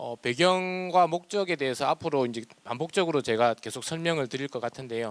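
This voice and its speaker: Recorded with a dry, close sound and no echo, a man talks at a fairly quick pace with fairly high pitch and lively intonation. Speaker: government official. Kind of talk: presentation. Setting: public forum, broadcast online. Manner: halting.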